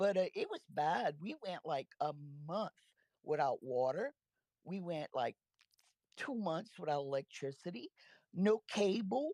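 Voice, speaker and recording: Speaking at a fairly slow pace, a woman with a fairly low pitch and a dark, mellow tone makes very wide pitch swings, recorded with a dry, close sound that has no echo. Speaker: caller. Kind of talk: casual chat.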